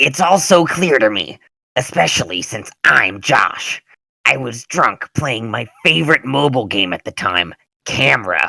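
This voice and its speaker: Putting on a raspy character voice, a man talks at a moderate pace with very wide pitch swings. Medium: machinima.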